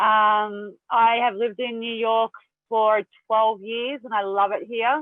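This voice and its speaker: A woman's fairly high, monotone voice with flat intonation, in an Australian accent, at a very slow pace. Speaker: mental health speaker. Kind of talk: presentation. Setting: video call.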